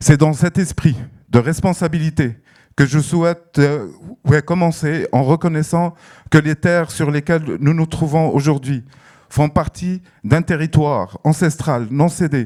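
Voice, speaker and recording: Recorded very cleanly against a silent background, a man with a fairly high pitch and a dark, mellow tone speaks at a fairly slow pace. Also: ordinary pitch variation. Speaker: festival director. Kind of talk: prepared speech. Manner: hesitant, many fillers.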